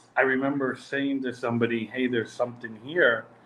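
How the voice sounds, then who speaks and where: The speech is monotone and flat, set against noticeable background noise. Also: man. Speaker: cigar maker. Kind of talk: interview. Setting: video call.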